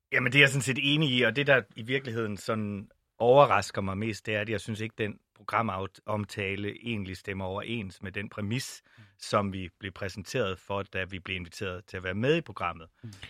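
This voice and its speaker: With an ordinary speaking voice, a man of fairly low pitch talks at a moderate pace with ordinary pitch variation, the sound dry and close with no echo and the recording very clean with a silent background. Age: 40s. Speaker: Pride organiser and LGBT+ activist. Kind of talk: podcast panel discussion. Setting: studio.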